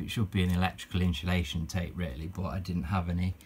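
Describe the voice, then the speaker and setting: This man's voice sits very deep and low. It carries a somewhat breathy quality. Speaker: retro gaming youtuber. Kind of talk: casual tutorial. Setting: home game room. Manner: halting, many fillers.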